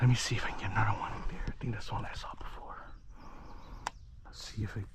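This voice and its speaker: A man whispers at a very fast pace, leaving long, frequent pauses. Room echo is audible, and there is noticeable background noise. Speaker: fishing vlogger. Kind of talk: casual vlog narration. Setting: outdoors by a lake. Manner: excited, animated.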